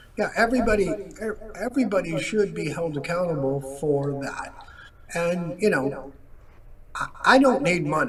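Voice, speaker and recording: A man talks at a moderate pace in a high voice with lively intonation and long, frequent pauses. There is noticeable background noise. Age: 60s. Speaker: bereaved father and advocate. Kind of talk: interview.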